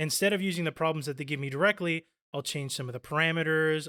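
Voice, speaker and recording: A man talks very fast in a fairly high voice with a bright, sharp tone and ordinary pitch variation. The sound is dry and close with no echo, in a very clean recording with a silent background. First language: Spanish. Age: 30s. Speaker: college student. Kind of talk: interview.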